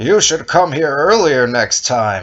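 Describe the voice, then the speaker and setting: A man speaks in a put-on character voice, pitched fairly high. His pace is fairly slow. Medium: read story. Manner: terse, urgent.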